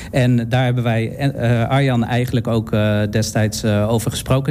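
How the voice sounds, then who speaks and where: The intonation is flat and monotone, heard over noticeable background noise. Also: man. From Netherlands, Utrecht. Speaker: event organiser and drag performer. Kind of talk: radio interview. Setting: studio. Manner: hesitant, many fillers.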